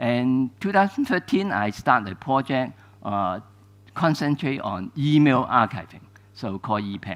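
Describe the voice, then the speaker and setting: On a very clean recording with a silent background, a man with a Cantonese accent speaks at a fairly slow pace. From Hong Kong. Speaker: archivist. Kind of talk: lecture. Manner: halting, many fillers.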